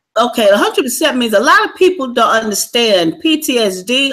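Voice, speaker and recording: Speaking at a fairly quick pace, a woman uses a high pitch with very wide pitch swings and a bright, sharp tone. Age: 60s. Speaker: military veteran. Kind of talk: interview.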